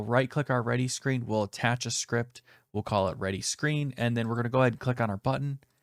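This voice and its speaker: A man talks in a plain, everyday voice at a fairly quick pace with hardly any pauses, medium in pitch with fairly even intonation. The recording is very clean, with a silent background, and the sound is dry and close with no echo. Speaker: programming tutorial youtuber. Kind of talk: tutorial. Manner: casual.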